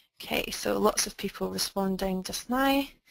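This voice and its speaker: A woman with a Scottish accent. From Scotland. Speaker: webinar presenter. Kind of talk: online webinar presentation. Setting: online webinar.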